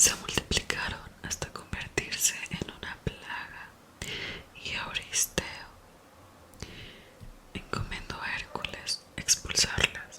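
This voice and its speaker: Whispering at a very slow pace, with long, frequent pauses, big swings in loudness and noticeable background noise. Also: woman. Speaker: ASMR creator. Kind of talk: ASMR whispered reading. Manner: whispered.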